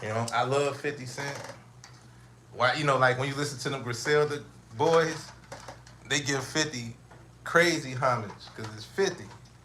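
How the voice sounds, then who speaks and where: A man with a fairly high pitch and ordinary pitch variation speaks at a moderate pace with long, frequent pauses and big swings in loudness, amid audible room echo and noticeable background noise. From Chicago, US Midwest. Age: 40s. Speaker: podcast host. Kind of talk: casual monologue. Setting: at home, livestream. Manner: casual, halting with repetitions.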